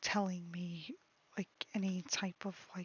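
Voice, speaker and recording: A soft-spoken woman talks at medium pitch, somewhat breathy. Her intonation is monotone and flat. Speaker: streamer and artist. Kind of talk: casual livestream chat. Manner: halting.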